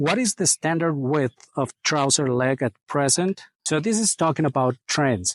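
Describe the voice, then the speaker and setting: A man with a non-native accent, fairly high-pitched and fairly slow, with lively intonation, very even loudness, a dry, close sound with no echo and a quiet background. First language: not English. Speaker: menswear video creator. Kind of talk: casual Q&A monologue. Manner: casual, hesitant with fillers.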